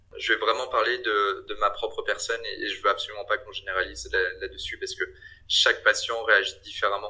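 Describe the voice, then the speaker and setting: Speaking at a fairly quick pace, a man makes big swings in loudness. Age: 30s. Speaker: business consultant and cancer survivor. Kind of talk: interview testimony. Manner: hesitant with frequent repetitions.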